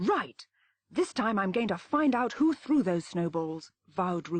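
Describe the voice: Someone is doing plain reading aloud. Behind it, the background is quiet.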